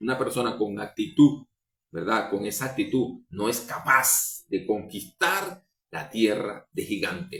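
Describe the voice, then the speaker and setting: This man's voice sits at a medium pitch with lively intonation. He speaks at a very slow pace. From Venezuela. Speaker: preacher. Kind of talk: sermon. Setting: livestream or recorded program.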